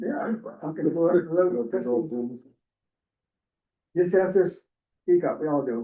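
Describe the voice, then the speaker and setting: A man's high-pitched, lively voice at a very slow pace, full of long, frequent pauses. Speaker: town board member. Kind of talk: board meeting discussion. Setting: town board meeting room.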